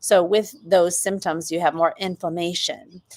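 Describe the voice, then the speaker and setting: A woman has an unremarkable speaking voice at medium pitch. She talks at a moderate pace. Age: 50s. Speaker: doctor hosting a hormone health Q&A. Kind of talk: live Q&A answering viewer comments. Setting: livestream on YouTube and TikTok. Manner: conversational with frequent fillers.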